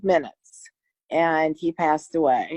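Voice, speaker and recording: A woman's voice with a dry, close sound and no echo. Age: 60s. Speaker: widow sharing grief recovery story. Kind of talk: testimony. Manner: halting, with many false starts.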